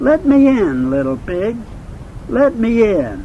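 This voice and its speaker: A man puts on a character voice at an extremely high pitch, his pitch swinging very widely at a fairly slow pace. Background noise is clearly audible. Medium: read story. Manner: menacing.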